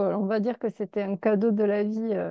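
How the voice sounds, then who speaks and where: A woman in a Toulouse accent speaks at a fairly high pitch and a fairly slow pace. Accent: southern French (Toulouse). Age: 40s. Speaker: numerologist. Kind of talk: casual chat. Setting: video call. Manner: chatty.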